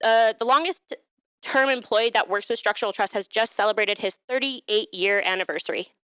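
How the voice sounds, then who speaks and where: A woman speaks loudly at a fairly high pitch in a bright, sharp tone with ordinary pitch variation. The sound is dry and close with no echo. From Alberta, Canada (Calgary). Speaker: workshop presenter, HR staff. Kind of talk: workshop presentation. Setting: live-streamed workshop with audience.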